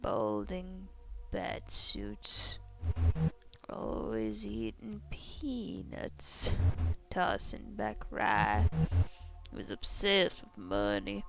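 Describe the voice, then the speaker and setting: Very slowly, in a put-on character voice, someone talks with long, frequent pauses over clear background noise. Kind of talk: old-time tough-dame drawl. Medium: solo performance. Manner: dry, cynical.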